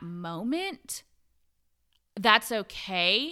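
An animated, bright, sharp tone with very wide pitch swings, on a very clean recording with a silent background. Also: woman. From Puerto Rican family, grew up partly in Florida. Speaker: curvy model and entrepreneur. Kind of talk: casual interview chat.

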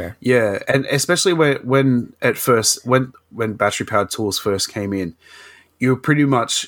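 A man speaks with an Australian accent at a moderate pace. His pitch varies in an ordinary way. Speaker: podcast host. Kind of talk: casual chat. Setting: remote recording.

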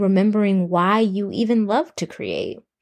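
A woman with a plain, everyday voice talks fairly slowly at medium pitch with fairly even intonation, in a dry, close sound with no echo. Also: very clean recording, silent background. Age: 20s. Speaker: podcast host and poet. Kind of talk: solo podcast intro monologue.

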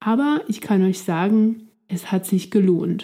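At a very slow pace, a woman talks in a dark, mellow tone that is somewhat breathy. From Switzerland. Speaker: language-learning podcast host. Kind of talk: scripted narration for German learners. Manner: clear, slow-paced for learners.

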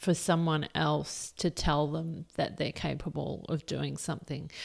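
On a very clean recording with a silent background, a woman with an Australian accent speaks fairly slowly with ordinary pitch variation. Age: 40s. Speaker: podcast host, career coach. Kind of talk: solo podcast monologue. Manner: casual, halting with fillers.

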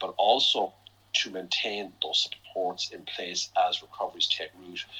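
Talking at a moderate pace, this man speaks with an Irish accent. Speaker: chief economist. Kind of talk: interview on financial markets. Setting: podcast. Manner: hesitant with fillers.

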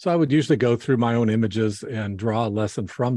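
A man's fairly low, dark, mellow voice with an American accent, ordinary pitch variation and a very fast pace over a quiet background. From California. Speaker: landscape photographer. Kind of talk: interview.

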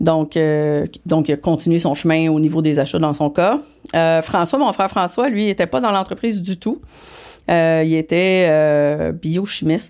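In a Quebec accent, a woman with a fairly low pitch speaks fairly slowly at very even loudness and with ordinary pitch variation, on a very clean recording with a silent background. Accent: Québécois French. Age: 50s. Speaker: business executive. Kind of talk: interview. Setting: studio.

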